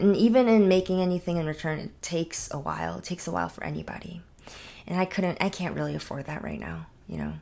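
The delivery is at a fairly quick pace on a very clean recording with a silent background. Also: woman. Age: 20s. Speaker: solo podcaster. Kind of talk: casual monologue. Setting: home podcast setup.

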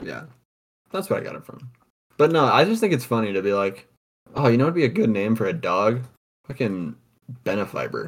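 Speaking at a fairly quick pace, a man with a medium pitch makes very wide pitch swings and leaves long, frequent pauses. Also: big swings in loudness. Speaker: podcast host. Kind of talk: casual chat. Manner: loud. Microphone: blue snowball on a laptop.

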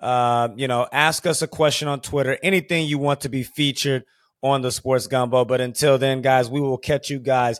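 Recorded very cleanly with a silent background, a man talks at medium pitch and a moderate pace in an unremarkable speaking voice, with fairly even intonation and a dry, close sound with no echo. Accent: American. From Houston, Texas. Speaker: podcast host. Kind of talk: casual chat.

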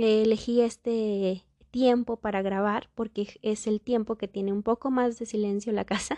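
In a dry, close recording with no echo, a woman with a fairly high pitch and a dark, mellow tone talks at a fairly slow pace with monotone, flat intonation. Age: 20s. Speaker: podcast host and pedagogue. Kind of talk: solo podcast monologue. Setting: recording at home.

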